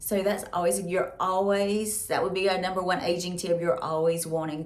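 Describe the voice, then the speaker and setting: A woman's fairly low voice in a Southern US accent, with noticeable background noise. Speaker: beauty and lifestyle vlogger. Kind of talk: casual vlog talk to camera. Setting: at home.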